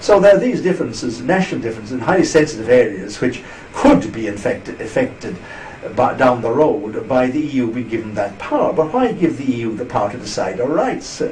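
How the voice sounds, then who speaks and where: A man with an Irish accent speaks at medium pitch for a man with lively intonation. There is noticeable background noise and audible room echo. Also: fairly quick pace. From Ireland. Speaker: interviewee on EU politics. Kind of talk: interview.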